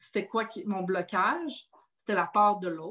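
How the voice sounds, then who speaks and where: A woman speaks in a fairly high, bright, sharp tone with ordinary pitch variation. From Quebec. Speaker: podcast host. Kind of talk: casual chat.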